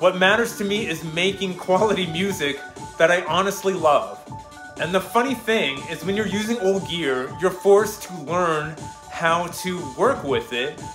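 With faint music in the background and audible room echo, a man with a high pitch and fairly bright tone speaks at a fairly slow pace with ordinary pitch variation.

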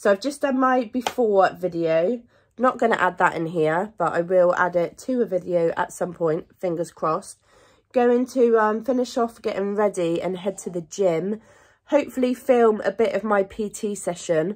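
The voice shows ordinary pitch variation against a quiet background. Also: woman, moderate pace. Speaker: lifestyle vlogger. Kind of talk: casual vlog chat. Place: home room. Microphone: phone near.

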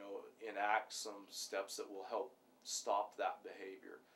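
A man over light background noise. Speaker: police sergeant. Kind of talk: interview answer. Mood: calm, earnest. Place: office.

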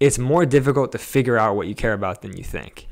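The background is quiet. A man talks at a fairly quick pace in a Californian accent. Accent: General American (Californian). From Los Angeles (Studio City); Los Angeles. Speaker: photographer and cinematographer; podcast guest. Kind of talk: interview, casual conversation. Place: home room. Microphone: handheld.

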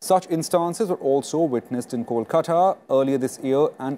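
A man with an Indian accent speaks at a moderate pace with a fairly high pitch. His tone is dark and mellow, and his intonation is lively. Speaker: TV news anchor. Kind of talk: panel discussion moderation. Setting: studio. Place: studio. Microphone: lapel.

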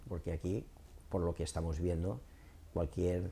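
The voice has a dark, mellow tone and sounds somewhat breathy. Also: man. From Torrent, Valencia, Spain; Valencia, Spain. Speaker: local politician; local party spokesman. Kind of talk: interview. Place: studio. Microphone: lapel.

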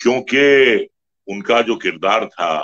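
Against a quiet background, a man talks in a bright, sharp tone. His pitch varies in an ordinary way. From India. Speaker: film actor. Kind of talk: interview answer. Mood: reminiscent, respectful. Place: home room. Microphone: video call.

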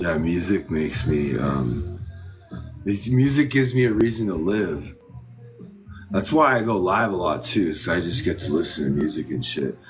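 Over faint background music, a man with a very deep, low voice speaks at a moderate pace. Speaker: guest. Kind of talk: casual livestream chat. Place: home room. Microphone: phone near.

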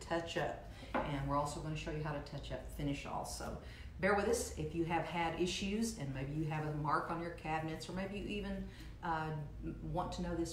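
A woman speaks over light background noise, and the room echo is audible. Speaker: furniture painting instructor. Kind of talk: tutorial. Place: kitchen. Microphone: camera far.

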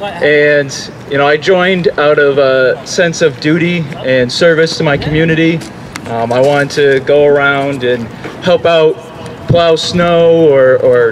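A man talks fairly slowly with fairly even intonation while music plays in the background. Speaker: speaker. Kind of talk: public speech. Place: street. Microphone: handheld.

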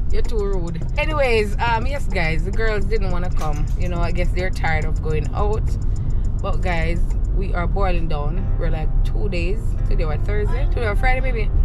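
Loud music plays behind a woman speaking at a moderate pace. The sound itself is dry, with no echo. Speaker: travel vlogger. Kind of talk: casual vlog chat. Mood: emotional about leaving. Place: car. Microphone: phone near.

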